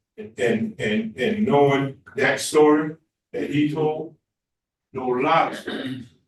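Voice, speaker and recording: A man with a Louisiana accent, fairly high pitch and lively intonation, at a very slow pace. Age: 70s. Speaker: pastor. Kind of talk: testimony. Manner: preachy, impassioned.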